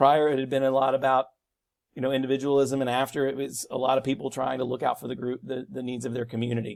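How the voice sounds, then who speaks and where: Speaking at a fairly quick pace, a man uses a medium pitch. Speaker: high school teacher. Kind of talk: recorded lecture. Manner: fast.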